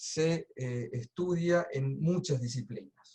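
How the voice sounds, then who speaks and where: The sound is dry and close with no echo. A man's fairly high, somewhat breathy voice shows ordinary pitch variation. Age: 60s. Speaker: coach and trainer. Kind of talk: webinar presentation. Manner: casual.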